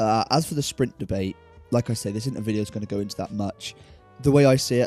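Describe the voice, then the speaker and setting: A fairly low-pitched man with a Southern English accent and ordinary pitch variation, music in the background. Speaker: gaming YouTuber. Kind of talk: casual talk to camera.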